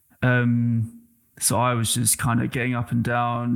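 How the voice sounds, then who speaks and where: In an English accent, a man speaks at a medium pitch and a fairly slow pace on a very clean recording with a silent background. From England. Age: 20s. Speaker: former basketball player and social media creator. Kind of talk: casual interview.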